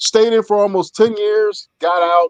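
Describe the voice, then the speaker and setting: Very slow speech comes from a man with an American accent. His pitch varies in an ordinary way. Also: dry, close sound with no echo. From Philadelphia, US. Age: 60s. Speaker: air force veteran. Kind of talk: casual chat.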